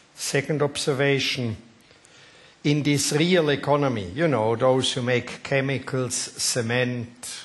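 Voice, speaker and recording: With noticeable background noise behind him, a man speaks in a Swiss accent with ordinary pitch variation. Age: 60s. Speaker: company board chairman. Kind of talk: panel discussion.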